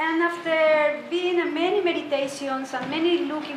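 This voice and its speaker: With a Spanish accent, a woman speaks at a high pitch and moderate pace with fairly even intonation, and room echo is audible. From Colombia. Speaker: meditation teacher. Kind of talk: talk to a group. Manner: halting.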